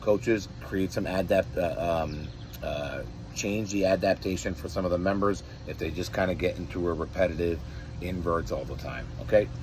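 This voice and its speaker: A man speaks with a very deep, low voice. His intonation is lively. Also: moderate pace. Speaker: fitness coach. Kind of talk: workout programming briefing. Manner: softer than usual.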